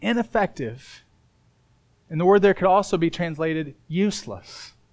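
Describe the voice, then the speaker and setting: A man with a high pitch talks at a moderate pace. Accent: American. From Indiana. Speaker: pastor. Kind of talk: sermon.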